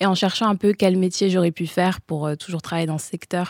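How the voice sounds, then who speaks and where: In a very clean recording with a silent background and a dry, close sound with no echo, a woman speaks fairly quickly in a fairly low, dark, mellow voice with monotone, flat intonation. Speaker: communication student. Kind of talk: interview.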